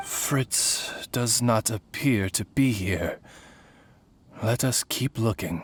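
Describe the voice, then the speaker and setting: A put-on character voice at low-to-middle pitch moves at a very slow pace with long, frequent pauses. The recording is very clean, with a silent background. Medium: video game. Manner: formal, courteous.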